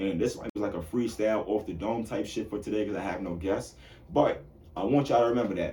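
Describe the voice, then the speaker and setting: Talking at a very fast pace, a man uses a fairly low pitch with vocal fry. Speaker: podcast host and bartender. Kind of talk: solo podcast monologue. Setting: solo in front of camera and microphone. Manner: animated.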